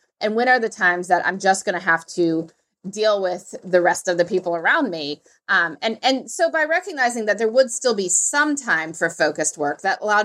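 Talking at a fairly quick pace, a woman uses lively intonation in an unremarkable speaking voice. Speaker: author and podcaster. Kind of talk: casual interview conversation.

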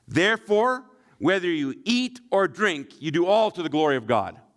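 In a western Canadian accent, a man talks at a fairly slow pace with very wide pitch swings on a very clean recording with a silent background. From Shuswap region, British Columbia, Canada. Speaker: pastor. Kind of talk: sermon.

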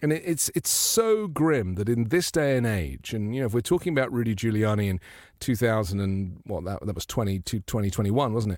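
Using an ordinary speaking voice at medium pitch, a man talks at a fairly quick pace with lively intonation. The recording is very clean, the background silent. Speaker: journalist and broadcaster. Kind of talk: live political talk show. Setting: live video stream.

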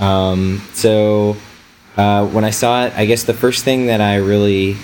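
A man's fairly low voice at a fairly slow pace over noticeable background noise. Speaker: photographer and podcast host. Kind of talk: casual chat.

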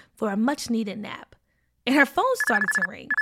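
Against background music, a woman speaks with lively intonation. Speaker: podcast host. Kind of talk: kids storytelling, reading aloud. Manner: animated, energetic, casual.

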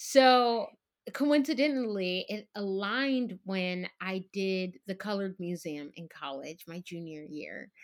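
A woman with an unremarkable speaking voice talks at a medium pitch and a fairly slow pace, with lively intonation and big swings in loudness. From Texas. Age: young. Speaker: Broadway actress. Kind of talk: casual chat.

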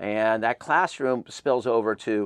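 Against a quiet background, a man uses a normal speaking voice at a moderate pace, with a medium pitch, ordinary pitch variation, and a dry, close sound with no echo. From Southern California. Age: 50s. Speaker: music festival founder. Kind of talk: interview.

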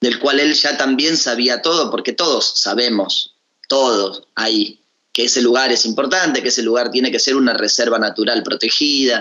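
A man has an unremarkable speaking voice at a medium pitch. His pace is fairly slow. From Tierra del Fuego, Argentina. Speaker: musician and actor. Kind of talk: radio interview. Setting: Skype call.

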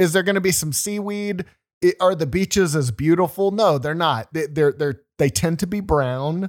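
An American accent at a moderate pace with ordinary pitch variation, in a very clean recording with a silent background and a dry, close sound with no echo. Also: man, high pitch for a man. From Louisiana, then Texas. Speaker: podcast co-host. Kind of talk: casual chat. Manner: halting, frequent repeated words.

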